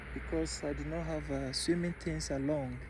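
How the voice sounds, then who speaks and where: Speaking at a fairly slow pace with an African accent, the voice carries audible room echo. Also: man. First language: African language. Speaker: travel vlogger. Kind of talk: casual vlog talk. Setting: outdoors in a forest.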